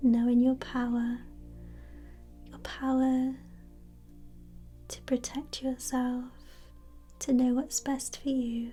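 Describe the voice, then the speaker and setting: The speech moves at a very slow pace with long, frequent pauses. Music plays in the background. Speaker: reiki practitioner / energy healer. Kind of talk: ASMR reiki energy healing session, guided. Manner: soft-spoken, gentle, slow, soothing.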